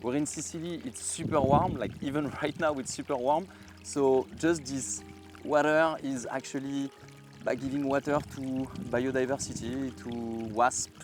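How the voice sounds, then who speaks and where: Over music in the background, a man with a French accent speaks at a moderate pace, using a medium pitch and ordinary pitch variation. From France. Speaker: gardener. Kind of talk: guided garden tour. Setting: outdoors in garden.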